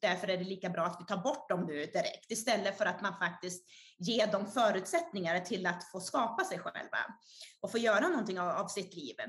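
At a moderate pace, a woman talks in a normal speaking voice with a medium pitch. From Sweden. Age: 30s. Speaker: author and speaker. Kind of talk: interview.

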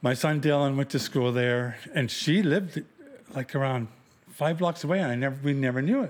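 In a plain, everyday voice, a man talks at a fairly quick pace, fairly high-pitched for a man, with ordinary pitch variation and very even loudness. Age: 50s. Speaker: host's father, truck driver. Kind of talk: casual family interview. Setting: at home.

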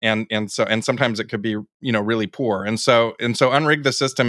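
In a very clean recording with a silent background, a man talks with an American accent. His intonation stays fairly even. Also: dry, close sound with no echo. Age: 50s. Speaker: presidential candidate. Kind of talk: interview. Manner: halting.

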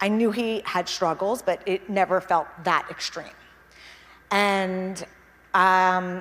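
A woman at a very slow pace and medium pitch, with long, frequent pauses. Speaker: founder presenting her venture. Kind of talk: public talk. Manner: shaky voice; halting.

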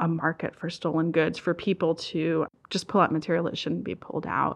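Against a quiet background, a woman with an American accent speaks at a fairly low pitch. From Southern Maryland. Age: 30s. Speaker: nonprofit outreach director. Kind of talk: interview. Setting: studio.

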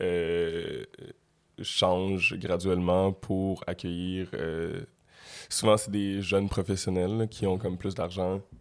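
A man speaks at a very slow pace. His voice is very deep and low. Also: fairly even intonation, very clean recording, silent background. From Quebec (Montreal area, Laval). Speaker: rapper. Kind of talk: casual interview.

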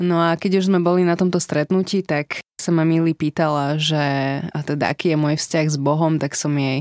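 Recorded very clean with a silent background and a dry, close sound with no echo, a woman talks at a moderate pace in a very deep, low pitch. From Slovakia, Senec. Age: 20s. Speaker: embassy political secretary sharing faith story. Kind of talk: testimony. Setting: studio.

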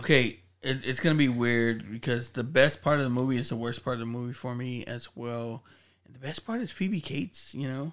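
An unremarkable speaking voice from a man, medium in pitch with ordinary pitch variation. He talks at a fairly quick pace, with big swings in loudness. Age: 40s. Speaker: podcast co-host. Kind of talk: casual chat.

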